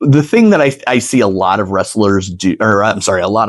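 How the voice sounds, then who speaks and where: A man with an American accent in an ordinary speaking voice, fairly low in pitch, at a moderate pace with lively intonation. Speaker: ring announcer and sports commentator. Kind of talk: interview answer. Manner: casual, conversational.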